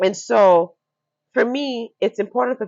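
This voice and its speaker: Her tone is animated and her intonation lively. The woman speaks in a Nigerian accent. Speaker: fashion entrepreneur. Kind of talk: podcast interview. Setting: recorded with plants behind them.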